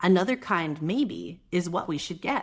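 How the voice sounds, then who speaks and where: A woman speaks at a medium pitch with very wide pitch swings. The recording is very clean, and the background is silent. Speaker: mother. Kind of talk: children's picture book read-aloud. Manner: soft-spoken, gentle, calm.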